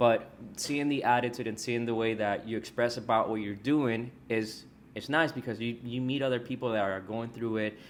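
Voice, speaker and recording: A man with an American accent speaks at a moderate pace in a medium pitch. His is a plain, everyday voice with fairly even intonation. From Texas. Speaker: podcast host and loan officer. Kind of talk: casual interview.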